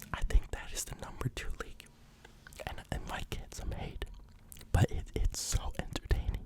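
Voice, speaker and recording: Whispering with long, frequent pauses comes through over noticeable background noise. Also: moderate pace. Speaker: ASMR creator. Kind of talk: ASMR football commentary, casual talk. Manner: whispered, soft-spoken.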